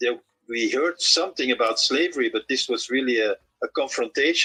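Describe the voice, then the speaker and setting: A man with a Dutch accent talks at a moderate pace, the sound dry and close with no echo. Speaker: author and reggae journalist. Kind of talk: interview. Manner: halting, many repeated words.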